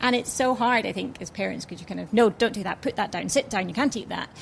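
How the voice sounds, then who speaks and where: A woman speaks at a fairly high pitch. Vocal fry runs through her voice. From Italy. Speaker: children's food brand founder. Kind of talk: live panel discussion. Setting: live recording with audience.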